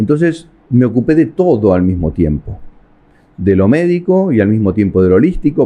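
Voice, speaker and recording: A man speaks at a medium pitch. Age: 60s. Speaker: family constellation therapist. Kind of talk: interview. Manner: halting.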